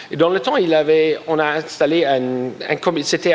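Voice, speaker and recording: Pitch moves in an ordinary range as noticeable noise sits in the background. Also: man. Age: 40s. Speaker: party representative, politician. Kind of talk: presentation to an audience. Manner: halting, with many repetitions.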